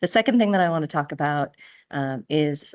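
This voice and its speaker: Over a quiet background, a woman with a Minnesotan accent and a very deep, low pitch speaks at a moderate pace. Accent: Minnesota. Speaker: software consultant. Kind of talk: tutorial. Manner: casual, hesitant with fillers.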